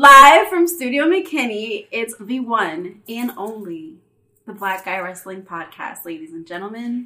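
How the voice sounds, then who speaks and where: In a put-on character voice, a female-sounding speaker talks loud and raspy with an enthusiastic tone, fairly high in pitch and at a fairly slow pace. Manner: loud, enthusiastic.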